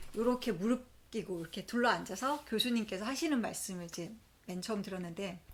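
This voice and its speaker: A woman with a normal speaking voice talks at a moderate pace. Her pitch is fairly high, and her intonation is lively. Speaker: accountant vlogger. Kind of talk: personal vlog storytelling. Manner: conversational.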